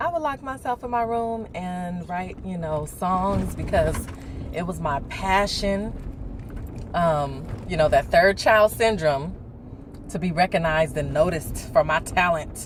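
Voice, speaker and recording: Noticeable background noise sits behind a woman speaking at a fairly slow pace. Her tone is animated, with ordinary pitch variation. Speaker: video blogger. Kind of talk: casual chat.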